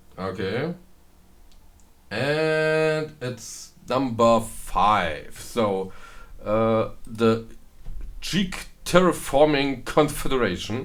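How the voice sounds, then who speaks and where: A man with a German accent speaks at a medium pitch and a very slow pace, with long, frequent pauses. His intonation is lively, and the room echo is audible. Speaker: gaming video creator. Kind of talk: gameplay commentary. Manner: halting, many fillers.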